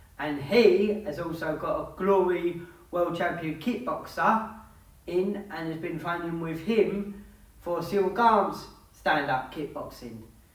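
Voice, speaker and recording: Someone with an English accent speaks over noticeable background noise. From England. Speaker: MMA YouTuber giving fight predictions. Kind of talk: fight analysis monologue.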